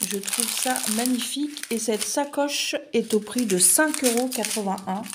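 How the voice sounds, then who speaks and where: Over noticeable background noise, a woman speaks in a fairly high pitch. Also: ordinary pitch variation, fairly slow pace. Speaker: craft unboxing youtuber. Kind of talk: unboxing video monologue.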